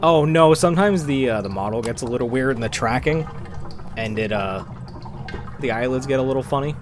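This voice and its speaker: A quiet man speaks at a fairly quick pace with medium pitch and ordinary pitch variation, leaving long, frequent pauses. Noticeable background noise and audible room echo fill the recording. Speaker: gaming streamer. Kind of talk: live stream chat while gaming. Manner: soft-spoken.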